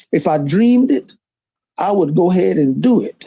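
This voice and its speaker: Here a man with a Louisiana accent speaks in a dark, mellow tone. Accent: Louisiana Southern US. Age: 80s+. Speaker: politician. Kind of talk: interview.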